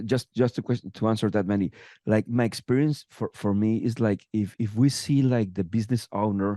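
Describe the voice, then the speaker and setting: Dark, mellow tone at a moderate pace, fairly even in intonation, in a dry, close sound with no echo against a quiet background. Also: man. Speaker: business consultant. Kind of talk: interview. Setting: podcast. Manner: halting, many repetitions.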